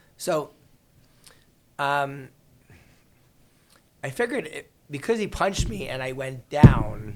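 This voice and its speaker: Speaking very slowly in a New York accent, a man with a fairly high pitch leaves long, frequent pauses. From New York City, Queens. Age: 50s. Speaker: real estate attorney. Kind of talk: podcast interview, storytelling.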